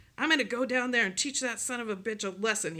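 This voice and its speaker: This put-on character voice growls at a fairly high pitch. The pace is very fast. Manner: angry, menacing.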